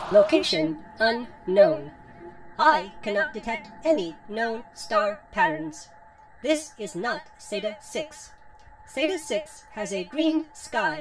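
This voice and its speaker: A female-sounding cartoonish character voice sits at a fairly high pitch with very wide pitch swings. She speaks at a very slow pace over light background noise. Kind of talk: scripted drama dialogue, flat robotic reports. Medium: puppet show. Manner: deadpan, clinical, monotone.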